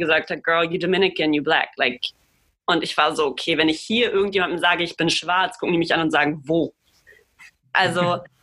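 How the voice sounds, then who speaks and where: This woman's fairly low voice has a bright, sharp tone and fairly even intonation. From Germany. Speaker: podcast co-host. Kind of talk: casual discussion.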